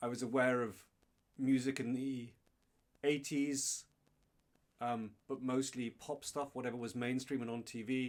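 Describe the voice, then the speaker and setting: This man has an English accent. He talks at a fairly slow pace with monotone, flat intonation. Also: medium pitch for a man. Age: 50s. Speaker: guitarist. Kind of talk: casual chat.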